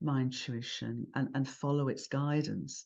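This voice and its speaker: Speaking with a British accent, a woman delivers her words at a fairly slow pace in a dark, mellow tone with fairly even intonation. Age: 70s. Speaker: cosmologist and author. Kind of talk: interview conversation.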